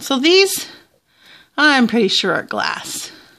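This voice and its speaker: A woman's voice over music in the background. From Southern Ontario, Canada. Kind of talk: casual vlog chat. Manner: chatty, casual, thinking aloud. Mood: curious, relaxed. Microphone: phone near.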